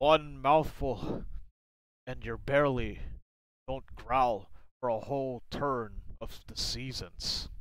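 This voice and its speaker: A put-on character voice with a low-to-middle pitch talks at a very slow pace. Long, frequent pauses break up the speech. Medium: read story. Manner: rambling, folksy, cryptic.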